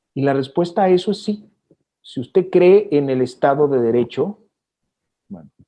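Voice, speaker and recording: At a moderate pace, with long, frequent pauses, a man speaks in a fairly high, dark, mellow voice with lively intonation. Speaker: TV news anchor. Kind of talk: interview answer.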